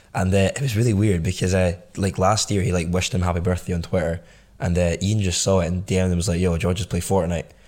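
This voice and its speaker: On a very clean recording with a silent background, a man with a Scottish accent and a very deep, low pitch talks very fast, his loudness very even and his intonation fairly even. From Scotland, Glasgow. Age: 20s. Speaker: entrepreneur. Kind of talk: casual chat.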